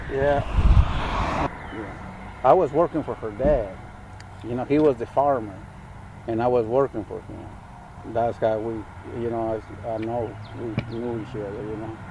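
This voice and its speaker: Speaking at a moderate pace with a Spanish accent, a man uses a medium pitch and fairly even intonation, leaving long, frequent pauses amid big swings in loudness and noticeable background noise. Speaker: farmer. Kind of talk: casual interview. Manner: halting.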